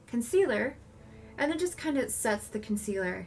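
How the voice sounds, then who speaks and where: Music plays behind the speaker. A woman talks very fast. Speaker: makeup tutorial creator. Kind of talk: makeup tutorial talk to camera.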